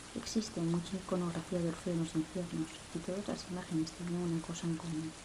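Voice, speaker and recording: A woman speaks fairly quickly in a fairly low voice. Background noise is noticeable, and the room echo can be heard. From Spain, Asturias. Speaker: ASMR creator. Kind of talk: reading aloud. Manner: whispering.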